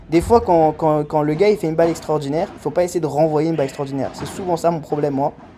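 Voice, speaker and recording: Over noticeable background noise, a man speaks in a fairly high voice. His tone is animated. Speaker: amateur padel player and vlogger. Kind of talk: commentary over own match footage. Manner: fast; casual, animated.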